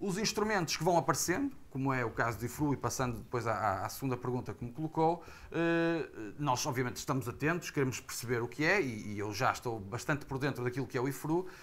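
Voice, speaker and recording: At a very fast pace, the speech comes with a Porto accent. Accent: northern Portuguese (Porto). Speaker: heritage association representative, panelist. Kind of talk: panel discussion. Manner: hesitant, many fillers; formal.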